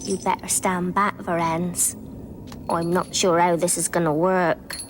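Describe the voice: A female-sounding, cartoonish character voice speaks at a moderate pace with a fairly low pitch. Clear background noise is present.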